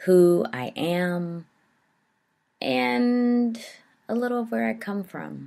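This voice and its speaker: A woman with a dark, mellow tone and a fairly low pitch speaks in an American accent at a very slow pace, her pitch swinging very widely and her loudness rising and falling a lot, with long, frequent pauses. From Southern Ohio Appalachia. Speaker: podcast host and life coach. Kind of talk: casual podcast conversation. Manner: some ums and likes.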